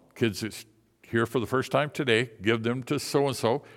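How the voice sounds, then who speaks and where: A plain, everyday voice of a man with an American accent, medium in pitch, with ordinary pitch variation, a moderate pace, and a very clean recording with a silent background. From Michigan. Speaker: missionary. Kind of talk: sermon. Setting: church.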